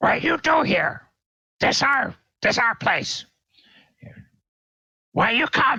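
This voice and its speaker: In a put-on character voice, the speaker growls in a high, raspy tone at a very slow pace, with long, frequent pauses. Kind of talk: broken, simple speech. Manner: growling, hostile.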